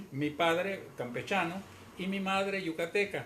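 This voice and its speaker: This is a man talking fairly slowly. His voice carries audible room echo. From Mexico, Yucatán (Mérida). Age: 80s+. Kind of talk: interview.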